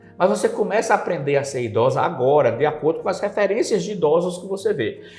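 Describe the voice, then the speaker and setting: With lively intonation, a high-pitched man speaks at a very fast pace. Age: 60s. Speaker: psychologist and communication professor. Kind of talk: TV interview.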